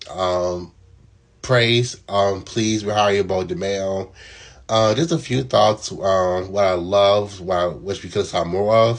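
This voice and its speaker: At a very slow pace, a man talks with a fairly low pitch. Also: ordinary pitch variation. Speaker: TV show reviewer. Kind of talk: casual video review. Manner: hesitant, many fillers.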